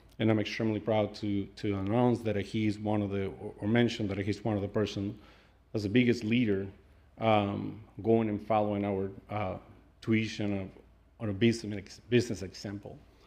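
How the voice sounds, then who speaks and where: There is audible room echo as a man with a fairly low pitch speaks in a dark, mellow tone with monotone, flat intonation. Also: moderate pace. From South America. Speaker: restaurant owner. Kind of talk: public comment at council meeting. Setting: city council meeting. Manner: halting.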